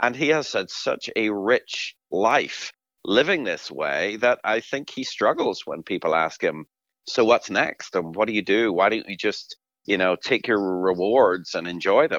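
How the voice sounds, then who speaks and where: The speaker is a man with an Irish accent. He talks at a fairly slow pace over a quiet background. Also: dry, close sound with no echo. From Ireland. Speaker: professor. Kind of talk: interview.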